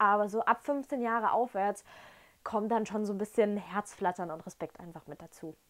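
Against a quiet background, a woman speaks at a moderate pace in an animated, enthusiastic tone, with ordinary pitch variation and big swings in loudness. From Germany, Dresden (Saxony); Saxony, Germany. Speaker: whisky tasting vlogger. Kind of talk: casual tasting vlog. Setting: at home in front of shelf. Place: home room. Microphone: lapel.

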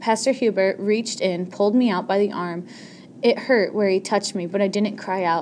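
The clip is delivered in an unforced reading voice.

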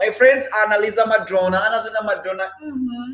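A man with a high pitch raises and projects his voice. Room echo is audible. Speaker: live streamer. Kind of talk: casual live stream chat with viewers. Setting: live stream online. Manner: repeats phrases, halting. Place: home room. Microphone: webcam.

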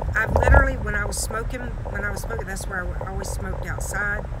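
Loud background noise around a woman speaking. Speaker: vlogger driving with her dogs. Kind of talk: casual vlog chat. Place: car.

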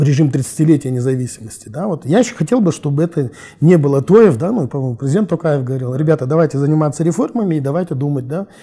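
Against a quiet background, a man with a fairly high pitch and a dark, mellow tone sounds somewhat breathy, talking at a fairly quick pace with ordinary pitch variation. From Kazakhstan, Almaty. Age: 40s. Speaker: political analyst. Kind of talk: interview. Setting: studio. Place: studio.

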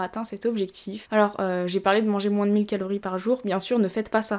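The speaker talks at a fairly quick pace. The background is quiet. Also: woman. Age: 20s. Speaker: fitness youtuber. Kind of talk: personal testimony. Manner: hesitant. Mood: calm, reflective, serious. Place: home room.

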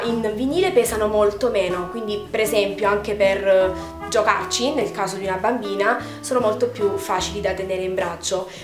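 A woman speaks at a moderate pace while clear music sounds in the background. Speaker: doll collector vlogger. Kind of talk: casual vlog chat.

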